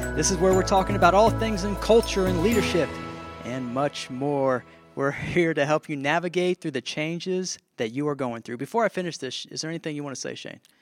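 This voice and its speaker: Over music in the background, a man speaks at a fairly quick pace and a fairly high pitch, with lively intonation. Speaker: podcast co-host. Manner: upbeat, jokey.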